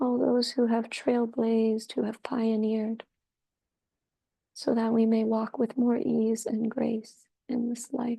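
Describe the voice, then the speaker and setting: A woman with a dark, mellow tone and fairly high pitch speaks in a monotone, flat way at a fairly slow pace, leaving long, frequent pauses. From Peruvian ancestry. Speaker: curandera, priestess and meditation guide. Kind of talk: guided meditation and ceremony opening. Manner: slow, reverent, prayerful.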